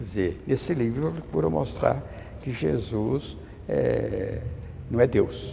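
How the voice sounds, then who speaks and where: At a very slow pace, the speaker's pitch swings very widely, with audible room echo. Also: man. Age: 80s+. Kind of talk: interview. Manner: halting, with frequent stammered restarts.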